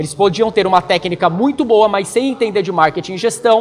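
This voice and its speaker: Against noticeable background noise, a man speaks at a high pitch and a fairly quick pace. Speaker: marketing trainer for tattoo artists. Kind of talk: online training lecture. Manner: fast; direct, energetic.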